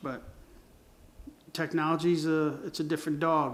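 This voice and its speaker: At a fairly slow pace, a man talks in a fairly high voice. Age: 60s. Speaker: creative agency owner and designer. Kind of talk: casual monologue. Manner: halting, many fillers and restarts.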